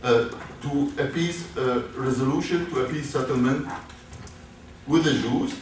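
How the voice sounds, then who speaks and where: The speaker has an Arabic accent and a moderate pace. Audible room echo and noticeable background noise surround the voice. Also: man. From Syria, Damascus. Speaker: professor. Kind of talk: lecture. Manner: halting, many hesitations.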